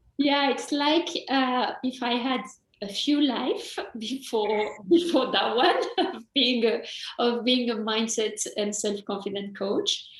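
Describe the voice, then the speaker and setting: With a French accent, a woman speaks very slowly at a high pitch, her intonation lively. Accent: French, still noticeable. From France, small town. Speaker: mindset coach. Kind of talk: interview.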